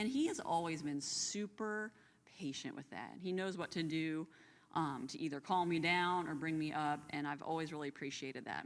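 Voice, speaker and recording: At a moderate pace, a woman talks in a very deep, low voice with ordinary pitch variation. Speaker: Bible class co-host. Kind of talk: Bible study discussion. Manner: loud; animated.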